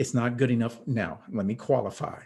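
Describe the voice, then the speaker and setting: A man's medium-pitched voice at a moderate pace. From New York. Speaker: virtual training expert. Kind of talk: interview. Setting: video call.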